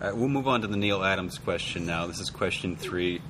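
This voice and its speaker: Noticeable background noise and room echo surround a man's voice. He speaks at a moderate pace with a very deep, low pitch. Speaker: podcast host. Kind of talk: interview.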